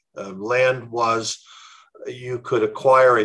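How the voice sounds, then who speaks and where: A man's bright, sharp tone at a fairly slow pace against a quiet background. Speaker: history professor. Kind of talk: interview. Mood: calm, measured explanation. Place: home room. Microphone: video call.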